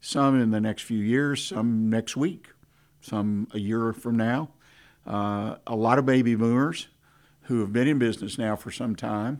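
A man with a Texan accent speaks at a fairly slow pace in a medium pitch, his intonation fairly even, on a very clean recording with a silent background. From Texas, Houston. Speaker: radio host. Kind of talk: radio business talk show. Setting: studio.

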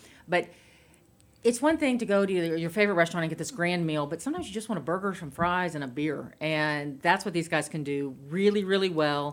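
A woman with an American accent, a normal speaking voice, and a fairly low pitch, talking fairly quickly with ordinary pitch variation. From Houston, Texas. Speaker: restaurant association director. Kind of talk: radio interview. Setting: radio studio.

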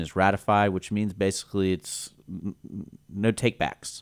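Recorded very cleanly against a silent background, a man talks in an unremarkable speaking voice. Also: dry, close sound with no echo. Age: 30s. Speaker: radio host. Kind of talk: casual interview. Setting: studio.

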